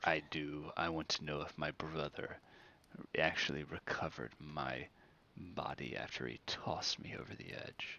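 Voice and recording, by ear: Whispering, a man puts on a character voice. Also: moderate pace.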